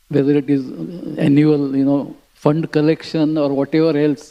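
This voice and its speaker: A man speaks in a dark, mellow tone. The pace is moderate. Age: 80s+. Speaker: spiritual teacher. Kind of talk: scripture class. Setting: temple. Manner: halting.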